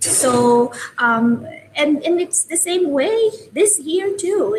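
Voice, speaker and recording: Over noticeable background noise, a woman with a Filipino accent speaks at a very slow pace with lively intonation. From Philippines. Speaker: open education advocate. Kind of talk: casual chat. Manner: hesitant, many fillers.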